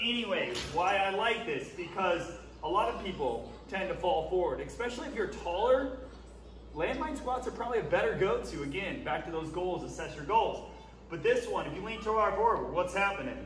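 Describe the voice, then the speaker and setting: Light background noise and audible room echo frame a man's voice. He has a high pitch and a moderate pace. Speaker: fitness coach. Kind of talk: tutorial. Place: gym. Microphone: camera far.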